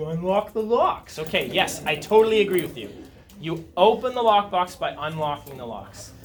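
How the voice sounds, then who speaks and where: A man speaks in a high voice with lively intonation at a moderate pace. Music plays in the background and room echo is audible. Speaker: high school chemistry teacher. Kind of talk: classroom lecture. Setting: classroom with students.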